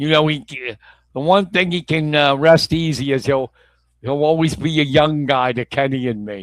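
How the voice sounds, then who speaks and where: Using an ordinary speaking voice, a man with an American accent talks at a moderate pace in a fairly high pitch with ordinary variation. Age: 50s. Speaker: sports talk show host. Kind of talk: casual chat.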